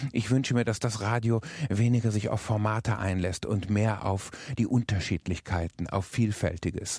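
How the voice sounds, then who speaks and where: A man speaks at a fairly low pitch and a moderate pace, somewhat breathy. His loudness stays very even, and his intonation is fairly even. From rural area. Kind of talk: reflective statement.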